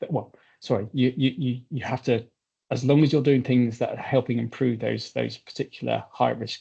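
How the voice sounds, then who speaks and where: With vocal fry and a monotone, flat intonation, a man speaks at a moderate pace and medium pitch. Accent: southern English. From southern England. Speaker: consulting firm representative. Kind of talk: webinar presentation. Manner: hesitant, many fillers and repetitions.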